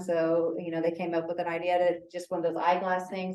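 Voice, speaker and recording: Audible room echo surrounds speech that moves fairly quickly. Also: woman. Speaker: extension agent leading a caregiver workshop. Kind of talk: workshop presentation with group discussion. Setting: meeting room with audience, also on zoom. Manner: fast at times.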